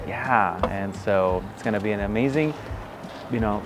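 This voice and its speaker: Over background music, a man talks with ordinary pitch variation. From California, Central Valley (born in Mexico, moved at 8). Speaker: outdoor nonprofit founder and educator. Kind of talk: interview; casual chat.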